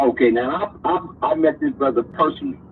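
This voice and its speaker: With noticeable background noise behind him, this man's speech holds ordinary pitch variation and a moderate pace. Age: 60s. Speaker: caller. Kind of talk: call-in discussion. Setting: call-in to online show. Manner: halting, repeats words.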